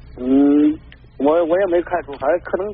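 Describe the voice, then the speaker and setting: A man with a high pitch speaks at a moderate pace with ordinary pitch variation. Noticeable background noise is present. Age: 40s. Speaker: caller. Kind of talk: call-in advice. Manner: halting.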